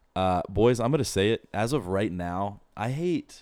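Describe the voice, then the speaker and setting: On a very clean recording with a silent background, a man talks at a fairly slow pace. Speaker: podcast host. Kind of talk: casual chat about sports. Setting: studio, recorded on video. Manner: stutters over the intro.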